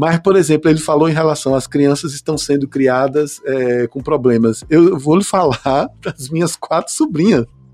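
An ordinary speaking voice from a man, fairly high in pitch with ordinary pitch variation, at a moderate pace with hardly any pauses, in a dry, close sound with no echo. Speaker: podcast host. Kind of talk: casual chat.

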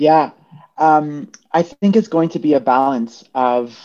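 A woman with a Canadian accent, very slow in pace, with ordinary pitch variation. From Toronto, Canada. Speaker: recording artist and club night co-founder. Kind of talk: panel discussion. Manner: animated.

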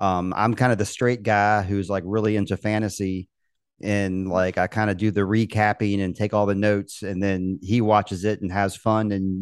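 A man with an American accent and a plain, everyday voice, fairly low in pitch, at a moderate pace over a quiet background. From Virginia, US (Richmond). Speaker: guitarist and podcast host. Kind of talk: casual chat.

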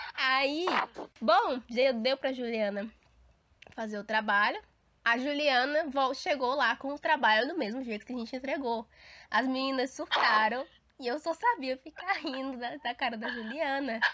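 A woman with a high voice speaks with long, frequent pauses. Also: ordinary pitch variation, fairly slow pace. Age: 20s. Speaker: podcast co-host. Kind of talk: casual chat.

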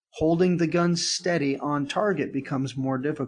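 This man talks with a normal speaking voice, a fairly high pitch, ordinary pitch variation and a moderate pace. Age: 50s. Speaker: event organizer and retired special forces soldier. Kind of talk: casual chat.

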